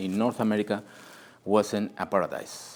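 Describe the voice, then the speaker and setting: This man talks at a moderate pace with a Spanish accent. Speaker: historian and author. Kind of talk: book presentation talk. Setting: group meeting with audience. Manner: halting, searching for words.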